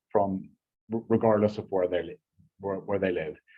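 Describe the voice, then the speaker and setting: With an Irish accent, a man is talking. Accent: Irish, still noticeable after 14 years in US. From Ireland. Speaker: business partnerships manager. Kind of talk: business presentation. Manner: halting, many repetitions and fillers.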